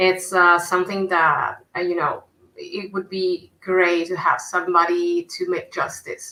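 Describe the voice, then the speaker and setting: A woman speaks at a fairly slow pace with an Italian accent. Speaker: comic book artist. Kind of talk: casual chat. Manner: halting.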